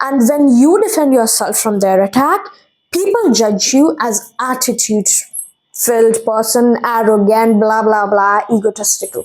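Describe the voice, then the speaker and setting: This woman talks at a fairly slow pace with a fairly high pitch, ordinary pitch variation and very even loudness. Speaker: tarot reader. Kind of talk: tarot reading monologue. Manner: halting.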